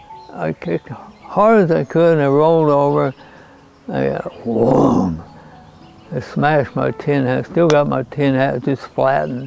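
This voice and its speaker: With an American accent and very wide pitch swings, a man talks fairly slowly at a medium pitch over noticeable background noise. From North Fork, California. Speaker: retired logger and miner. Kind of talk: interview answer.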